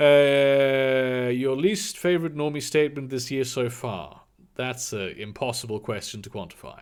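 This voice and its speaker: Over a silent background, a man's voice comes through on a very clean recording. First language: German. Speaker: streamer. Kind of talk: live stream Q&A. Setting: live stream.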